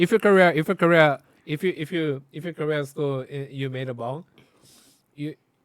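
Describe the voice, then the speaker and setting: A man with a Korean accent and fairly high pitch, ordinary pitch variation, big swings in loudness, a moderate pace and a dry, close sound with no echo. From South Korea. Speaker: video reaction co-host. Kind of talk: casual chat. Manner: halting.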